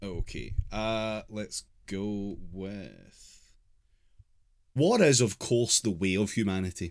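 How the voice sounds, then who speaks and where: On a very clean recording with a silent background, a man with a British accent speaks at a very slow pace, his fairly low pitch showing ordinary variation. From Britain. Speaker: podcast host. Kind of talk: casual chat.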